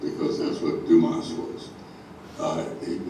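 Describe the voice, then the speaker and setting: Noticeable background noise accompanies a man's speech. The room adds an audible echo. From US Midwest, Chicago. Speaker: local history speaker. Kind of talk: illustrated talk to an audience. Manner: halting, many fillers.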